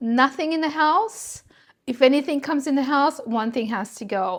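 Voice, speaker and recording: A woman talks at a moderate pace, the background quiet. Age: 60s. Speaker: video blogger. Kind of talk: casual vlog monologue.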